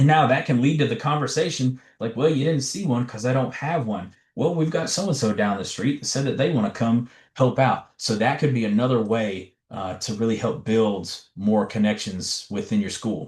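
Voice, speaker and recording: Somewhat breathy, a man with an American accent talks at a moderate pace and medium pitch with lively intonation. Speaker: education trainer / presenter. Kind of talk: webinar presentation. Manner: animated.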